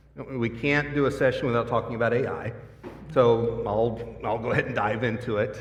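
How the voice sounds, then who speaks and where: Against noticeable background noise and audible room echo, a man at medium pitch speaks at a fairly quick pace with monotone, flat intonation. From US. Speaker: product marketing director, panelist. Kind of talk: conference panel discussion.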